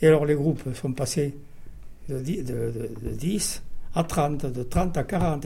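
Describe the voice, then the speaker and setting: Audible room echo surrounds a man's fairly high, somewhat breathy voice with a dark, mellow tone. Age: 80s+. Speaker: war veteran, former resistance fighter. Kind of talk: testimony.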